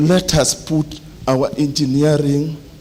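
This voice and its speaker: A man talks while noticeable background noise carries through the recording. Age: 70s. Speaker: engineer, association member. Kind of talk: meeting speech, appeal to members. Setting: general meeting in a club hall.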